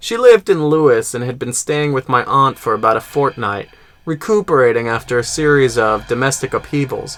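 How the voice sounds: Someone reads with a natural voice.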